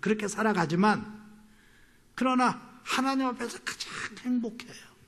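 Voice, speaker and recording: The man's delivery is fairly slow. His voice carries an audible echo from the room. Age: 60s. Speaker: pastor and missionary. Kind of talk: sermon. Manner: less loud than usual, full after meal.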